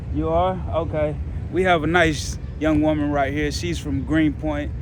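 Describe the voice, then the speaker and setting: A man at a fairly slow pace, amid audible room echo and noticeable background noise. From Texas, Dallas. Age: 30s. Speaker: independent journalist and vlogger. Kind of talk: street vlog with interviews. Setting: outdoors in a park. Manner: casual.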